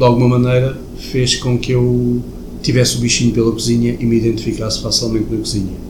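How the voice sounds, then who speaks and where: With audible room echo and noticeable background noise, a man talks at a very fast pace in a monotone, flat delivery. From Portugal, mostly Lisbon. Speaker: chef. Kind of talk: interview.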